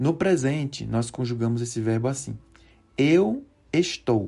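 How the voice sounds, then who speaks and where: A man with a medium pitch speaks over music in the background. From Recife, northeast Brazil. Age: 40s. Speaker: Portuguese teacher. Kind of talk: language lesson. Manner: halting.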